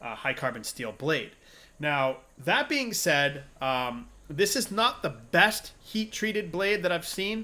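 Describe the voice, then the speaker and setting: A man speaks at a very slow pace in a high pitch with a bright, sharp tone and very wide pitch swings. The recording is very clean with a silent background. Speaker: sword reviewer. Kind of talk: product review. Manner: hesitant with fillers.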